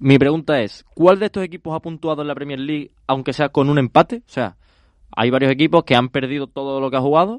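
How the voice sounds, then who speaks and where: With a dry, close sound and no echo, a man speaks very fast at a fairly high pitch with ordinary pitch variation. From Spain, Logroño (La Rioja). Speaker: quiz host. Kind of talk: casual chat. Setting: studio.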